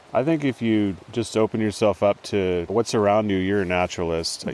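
This man has an ordinary speaking voice, fairly low in pitch, with an American accent, ordinary pitch variation and a moderate pace. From northern California, Trinity River area. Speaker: fisheries biologist and naturalist. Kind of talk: casual conversation. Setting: outdoors in a rainforest.

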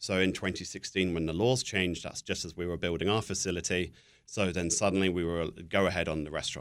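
A man with a southern British accent talks at a very fast pace in a very deep, low pitch. His intonation is fairly even, and the recording is very clean with a silent background. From southern England. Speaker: spirits company representative. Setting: studio.

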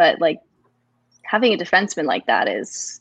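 In a normal speaking voice, a woman with a Canadian accent talks at a fairly quick pace and medium pitch with ordinary pitch variation. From Toronto, Canada. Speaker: hockey journalist. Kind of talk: casual interview.

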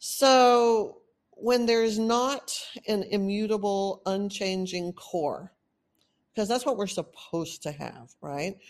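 In a quiet background, a woman with medium pitch speaks at a very slow pace. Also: ordinary pitch variation. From Texas. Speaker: podcast host on narcissistic abuse recovery. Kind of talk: solo monologue, educational talk. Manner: casual, rambling, laughs often.

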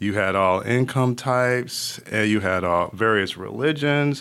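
Speaking fairly slowly with an American accent, a man has a plain, everyday voice and ordinary pitch variation. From Connecticut, Hartford area. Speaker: nonprofit executive. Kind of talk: interview.

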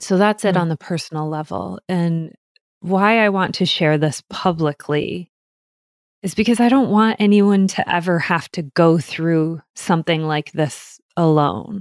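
Speaking fairly slowly at a fairly low pitch with ordinary pitch variation, a woman is heard on a very clean recording with a silent background and a dry, close sound with no echo. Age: 40s. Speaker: podcast host. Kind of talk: personal storytelling.

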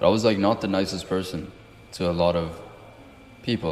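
Speaking at a fairly quick pace, a man has a very deep, low pitch and fairly even intonation. Behind him there is noticeable background noise. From outside the US (moved at 12). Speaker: podcast host. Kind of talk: casual interview chat.

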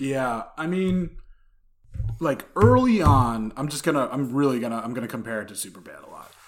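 Noticeable background noise sits behind a man speaking at a moderate pace. His intonation is lively, and his loudness swings widely. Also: medium pitch for a man. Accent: New Jersey. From New Jersey. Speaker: podcast host, guest. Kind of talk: casual chat. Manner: animated.

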